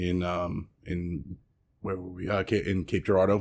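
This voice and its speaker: On a very clean recording with a silent background, a man in a New York accent talks at a fairly slow pace with a very deep, low pitch and monotone, flat intonation. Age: 30s. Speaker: restaurant owner. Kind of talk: interview. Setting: at his restaurant. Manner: halting.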